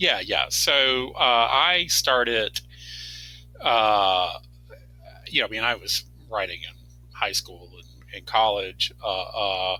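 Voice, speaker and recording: Against music in the background, a man speaks at a very slow pace with long, frequent pauses and big swings in loudness. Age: 60s. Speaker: fantasy author. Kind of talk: casual chat. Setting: podcast interview. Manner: halting, many fillers.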